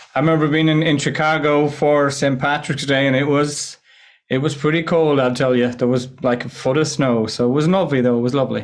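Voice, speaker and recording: A man talks at a fairly quick pace with an Irish accent and a fairly high pitch. His intonation is fairly even, and his loudness stays very even. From west of Ireland. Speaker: presentation skills coach. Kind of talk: podcast interview. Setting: remote call.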